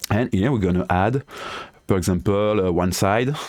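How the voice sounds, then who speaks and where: Speaking at a moderate pace, a man with a fairly low pitch talks with a French accent. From France. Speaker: DIY tinkerer and tool developer. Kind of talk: software tutorial. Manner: halting, hesitant non-native English.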